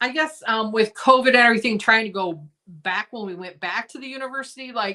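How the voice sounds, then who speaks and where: A woman speaks at a fairly quick pace in a normal speaking voice, her pitch fairly high with ordinary variation. Her loudness swings widely. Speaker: vintage seller, live sale host. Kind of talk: casual chat.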